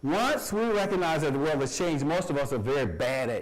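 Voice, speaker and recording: The man sounds animated and talks at a fairly quick pace. Audible room echo and noticeable background noise are present. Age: 60s. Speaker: college professor. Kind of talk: lecture. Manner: halting.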